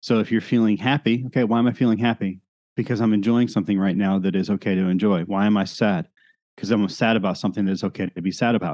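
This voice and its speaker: Against a quiet background, a man talks at a very fast pace with a fairly low pitch and fairly even intonation. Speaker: pastor. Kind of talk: casual interview. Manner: loud, fast-paced.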